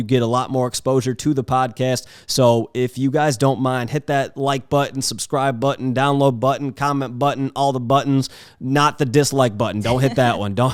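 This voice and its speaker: In an ordinary speaking voice, a man talks at a moderate pace and a medium pitch with fairly even intonation and hardly any pauses, in a very clean recording with a silent background. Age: 20s. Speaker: podcast host and photographer. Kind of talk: casual chat. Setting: home studio with cameras. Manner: casual, lots of filler words.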